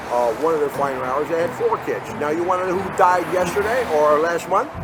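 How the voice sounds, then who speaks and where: A man talks at a fairly quick pace in a high pitch with ordinary pitch variation. Noticeable background noise and audible room echo surround him. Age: 60s. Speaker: homeless man interviewed on the street. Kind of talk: street interview. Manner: argumentative, interrupting.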